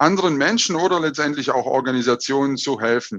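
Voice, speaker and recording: Against a quiet background, a man speaks at a moderate pace with a fairly high pitch. His tone is energetic, with ordinary pitch variation. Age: 30s. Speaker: business coach and speaker. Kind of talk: online talk / presentation.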